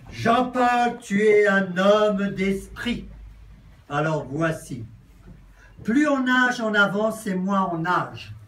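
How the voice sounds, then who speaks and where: The speech is very slow, with long, frequent pauses and audible room echo. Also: man. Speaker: friend reading a tribute. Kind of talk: reading aloud. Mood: warm, joking.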